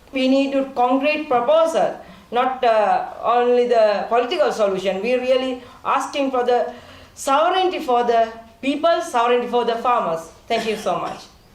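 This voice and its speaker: A woman speaks with a high pitch. Her voice has audible room echo and noticeable background noise. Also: lively intonation, moderate pace. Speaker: farmer movement representative. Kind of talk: panel speech. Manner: halting.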